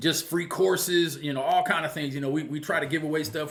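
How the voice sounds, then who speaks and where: A man talks at a very fast pace with a fairly high pitch and fairly even intonation. The recording has audible room echo and noticeable background noise. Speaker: football coach and channel host. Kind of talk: casual monologue to viewers.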